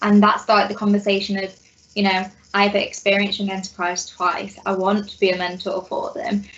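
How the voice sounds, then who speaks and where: Over noticeable background noise, a woman talks at a fairly quick pace with a medium pitch. Her intonation stays fairly even while her loudness swings a lot. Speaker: graduate mentor. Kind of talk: panel Q&A. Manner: loud, confident.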